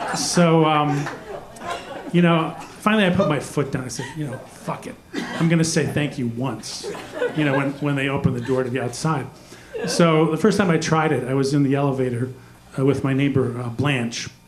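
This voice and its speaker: Noticeable background noise and audible room echo surround a man with a fairly high pitch. He talks at a moderate pace with ordinary pitch variation and long, frequent pauses. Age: 60s. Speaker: stand-up comedian. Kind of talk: stand-up. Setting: stage with audience. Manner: hesitant, many fillers.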